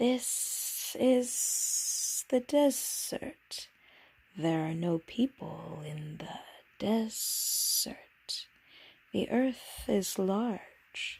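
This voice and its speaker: In a whispering, put-on character voice, the speaker goes at a very slow pace. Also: woman. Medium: read story. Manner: calm, enigmatic.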